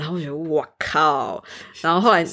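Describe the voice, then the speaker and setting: At a very fast pace, a woman speaks with a fairly low pitch and ordinary pitch variation. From Taiwan. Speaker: student. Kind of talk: casual chat.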